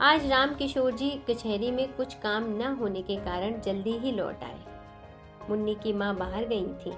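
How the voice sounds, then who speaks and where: Over music in the background, a woman speaks at a fairly high pitch with ordinary variation. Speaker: story narrator. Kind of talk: Hindi story narration / audiobook.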